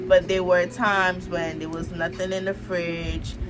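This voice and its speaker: A woman's fairly low voice with ordinary pitch variation, at a fairly slow pace, with audible room echo. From Antigua. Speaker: YouTuber. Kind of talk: personal vlog storytelling. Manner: casual, chatty.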